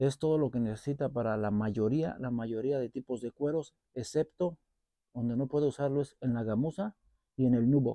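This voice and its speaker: Speaking at a fairly quick pace in a Mexican accent, a man with a medium pitch and a dark, mellow tone uses ordinary pitch variation, recorded with a dry sound with no echo against a quiet background. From Mexico. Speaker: boot collector and repair youtuber. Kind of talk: product review vlog. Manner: casual, halting with repetitions. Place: garden. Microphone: lapel.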